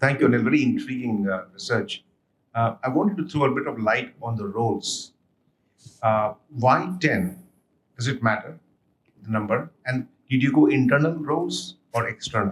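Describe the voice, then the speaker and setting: Somewhat breathy and with lively intonation, a man speaks at a medium pitch and a moderate pace. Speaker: audience member asking a question. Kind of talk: audience question. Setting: workshop with audience.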